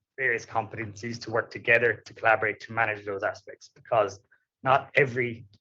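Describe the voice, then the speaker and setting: A man with an Irish accent talks at a fairly quick pace in a medium pitch. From Ireland. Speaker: tax manager, panelist. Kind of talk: conference panel talk.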